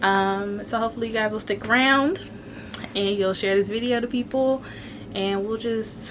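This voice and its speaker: Against noticeable background noise, a woman speaks at medium pitch with ordinary pitch variation. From Alabama. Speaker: homesteading vlogger. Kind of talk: casual vlog chat. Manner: conversational with frequent fillers.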